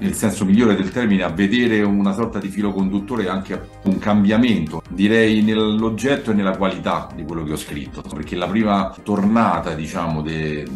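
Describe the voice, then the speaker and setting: Faint music plays in the background as a man with a very deep, low pitch speaks at a moderate pace with ordinary pitch variation. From Rome, Italy. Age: 40s. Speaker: poet. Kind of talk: interview answer. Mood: calm, reflective. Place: home room.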